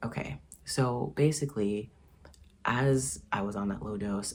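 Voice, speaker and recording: A man with a fairly low pitch and a somewhat breathy voice speaks with very wide pitch swings. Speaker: YouTuber sharing transition journey. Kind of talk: casual vlog monologue. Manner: casual, many fillers and restarts.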